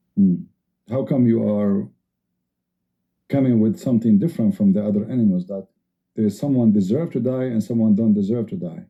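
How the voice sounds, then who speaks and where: Medium in pitch with ordinary variation, a man talks at a fairly quick pace. He leaves long, frequent pauses. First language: not English. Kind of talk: heated debate. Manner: animated.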